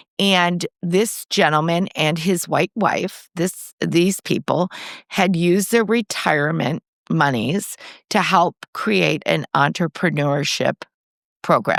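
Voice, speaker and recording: With vocal fry and a fairly low pitch, a woman speaks at a very slow pace, using ordinary pitch variation and very even loudness, in a very clean recording with a silent background. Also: dry, close sound with no echo. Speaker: podcast co-host. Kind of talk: casual chat. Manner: trouble pronouncing R's.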